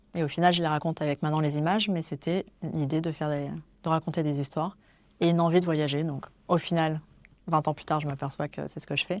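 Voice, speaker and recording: A woman speaks with a very deep, low pitch at a very fast pace. Her intonation is monotone and flat, and the recording is very clean with a silent background. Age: 40s. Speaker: wedding photographer. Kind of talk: interview. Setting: in person, Paris.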